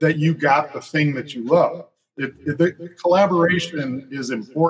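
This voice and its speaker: A man with an American accent at a moderate pace. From West Tennessee (Jackson). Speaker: comic book artist. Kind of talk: casual interview.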